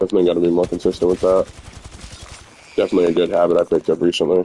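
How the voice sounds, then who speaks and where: Speech comes at a very fast pace, in a dry, close sound with no echo. Noticeable background noise is present. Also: man. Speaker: gaming streamer. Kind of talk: casual gameplay livestream chat. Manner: conversational, chatty.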